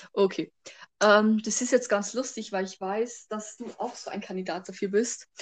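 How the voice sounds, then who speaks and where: A woman with an ordinary speaking voice talks at a moderate pace in a fairly high pitch, her intonation fairly even but her loudness swinging widely. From Bavaria. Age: young. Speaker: podcast co-host. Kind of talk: casual chat. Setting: remote recording.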